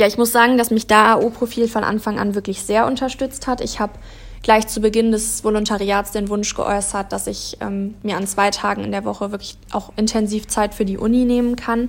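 A woman's fairly high voice at a moderate pace, with monotone, flat intonation. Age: 20s. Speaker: PR and marketing trainee. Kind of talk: interview.

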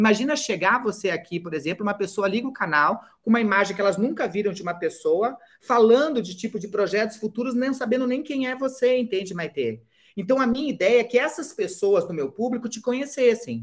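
Fairly quick and lively in intonation, a woman speaks in an unremarkable speaking voice pitched fairly high. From Brazil, Curitiba. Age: 50s. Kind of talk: interview.

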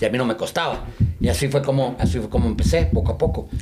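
A man talks at a fairly quick pace in a medium pitch. Room echo is audible, and there is noticeable background noise. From Mexico, Chihuahua. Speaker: event promoter and business founder. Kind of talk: casual interview.

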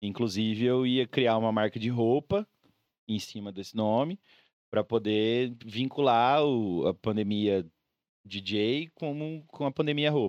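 A man's plain, everyday voice at a medium pitch, fairly slow, with ordinary pitch variation. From Brazil, Mato Grosso do Sul (Campo Grande). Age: 30s. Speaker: DJ. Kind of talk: casual chat.

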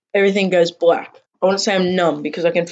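Everything around is quiet while someone reads in an unforced voice.

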